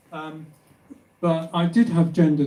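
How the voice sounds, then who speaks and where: Audible room echo surrounds a man whose dark, mellow voice moves at a fairly slow pace. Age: 70s. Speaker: author. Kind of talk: personal testimony; reading aloud.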